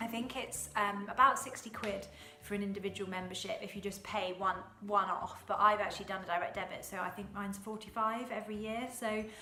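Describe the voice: Bright and sharp in tone, the voice moves at a fairly quick pace with fairly even intonation, with audible room echo and faint music in the background. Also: woman, medium pitch for a woman.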